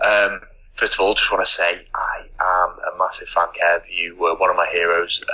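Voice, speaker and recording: A man is talking at a fairly quick pace. Behind him, background noise is noticeable. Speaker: podcast listener sending a recorded question. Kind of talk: recorded voice message question. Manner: quiet.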